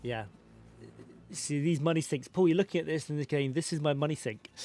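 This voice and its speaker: With long, frequent pauses at a moderate pace, a man with a British accent speaks in a dark, mellow tone at a fairly high pitch. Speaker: gaming streamer. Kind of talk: live stream game commentary.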